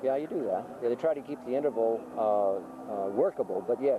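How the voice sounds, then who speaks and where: A man's lively intonation at a moderate pace, with hardly any pauses and noticeable background noise. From Lowell, Massachusetts. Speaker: rowing coach and teacher. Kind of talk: interview answer. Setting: outdoors.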